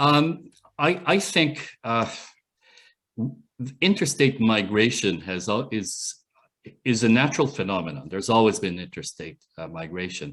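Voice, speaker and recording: Pausing long and often, a man with a medium pitch speaks at a fairly slow pace, with very wide pitch swings and big swings in loudness. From Canada. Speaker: UN human rights expert, professor. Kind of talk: Q&A talk at online meeting. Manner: halting.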